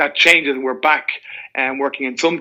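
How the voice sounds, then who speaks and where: With an Irish accent, a man speaks at a fairly quick pace in a bright, sharp tone, with a fairly high pitch and fairly even intonation. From Ireland, Dublin. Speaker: mortgage broker. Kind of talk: podcast interview.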